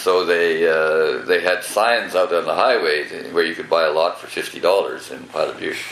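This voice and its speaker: There is audible room echo and noticeable background noise as a man speaks. He keeps a moderate pace with hardly any pauses. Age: 80s+. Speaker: former town mayor. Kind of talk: oral history interview. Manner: halting.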